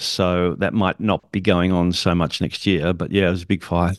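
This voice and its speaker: Fairly quick in pace, a man speaks with an Australian accent. The background is quiet. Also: dry, close sound with no echo. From Australia (Sydney). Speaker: public speaking coach and event emcee. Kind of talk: casual interview chat.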